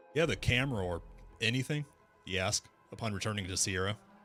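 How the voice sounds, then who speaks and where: With music in the background, a man talks at a fairly quick pace with lively intonation. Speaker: interactive story narrator. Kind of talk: reading aloud. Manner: stuttering.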